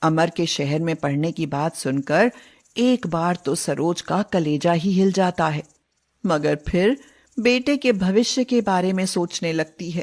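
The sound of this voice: A woman speaks at a fairly slow pace and a fairly low pitch. Her tone is slightly mellow. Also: ordinary pitch variation.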